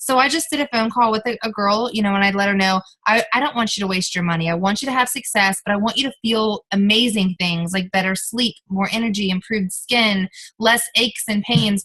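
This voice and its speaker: Fairly quick and animated, a woman speaks at a fairly high pitch in a bright, sharp tone with ordinary pitch variation. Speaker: network marketing team leader. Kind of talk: team training call. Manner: fast.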